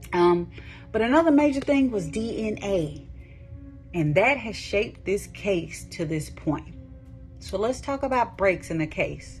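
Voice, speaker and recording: The speech moves at a fairly slow pace. Music plays in the background. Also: woman. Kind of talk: true crime podcast narration. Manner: calm, immersive.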